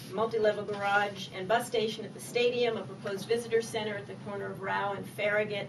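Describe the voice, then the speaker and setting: With an American accent, a woman speaks at a fairly high pitch amid noticeable background noise and audible room echo. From Maryland, Annapolis. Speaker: political candidate. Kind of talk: campaign speech at candidate forum. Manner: fast.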